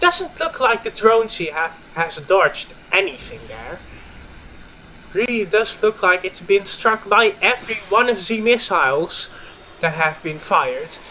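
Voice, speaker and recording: A man with a Dutch accent speaks in a raised, projected voice at a high pitch and a fairly slow pace. Noticeable background noise can be heard. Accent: Dutch accent, sounds a bit German. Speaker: gaming YouTuber and commentator. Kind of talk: live commentary. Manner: hesitant with fillers.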